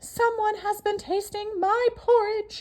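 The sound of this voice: In a put-on character voice, a female-sounding speaker talks at a fairly slow pace with an extremely high pitch.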